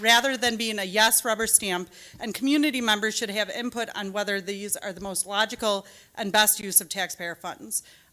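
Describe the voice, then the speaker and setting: A woman with an American accent speaks at a fairly high pitch, her loudness swinging widely. Background noise is noticeable. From Michigan (Rochester). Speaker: parent speaking at school board meeting. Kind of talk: public comment speech. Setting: public meeting hall. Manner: fast.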